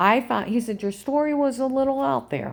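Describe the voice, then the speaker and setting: The recording is very clean. A woman talks over a silent background. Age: 50s. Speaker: video blogger. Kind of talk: personal testimony monologue. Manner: stutter; agitated, rambling.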